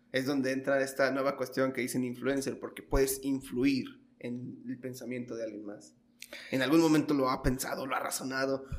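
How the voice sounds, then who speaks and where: A man talks at a moderate pace and medium pitch. His intonation is monotone and flat, with noticeable background noise. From Mexico, Michoacán (Los Reyes). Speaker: podcast host. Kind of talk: interview. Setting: guest's office.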